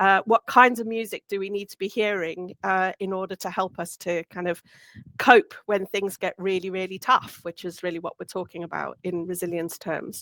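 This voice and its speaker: Loud and bright, with a sharp tone, a woman at medium pitch speaks at a moderate pace in a dry, close sound with no echo. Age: old. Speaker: resilience researcher. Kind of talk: webinar talk. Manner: hesitant, many fillers.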